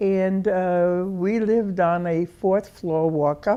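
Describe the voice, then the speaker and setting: A woman talks with a dark, mellow tone. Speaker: retired hospital CEO. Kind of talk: oral history interview answer.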